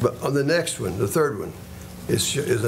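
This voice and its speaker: Noticeable background noise and audible room echo accompany a man speaking in a western Kentucky accent. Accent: western Kentucky Southern US. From western Kentucky, Paducah area. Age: 70s. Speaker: retired schoolteacher speaking at public comment. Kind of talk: public comment at city meeting. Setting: city commission meeting. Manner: halting, with frequent fillers.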